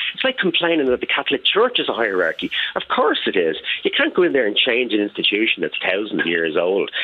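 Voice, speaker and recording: A man with an Irish accent, very fast and very even in loudness, over noticeable background noise. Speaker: caller. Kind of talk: phone-in radio discussion. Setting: phone call. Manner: enthusiastic.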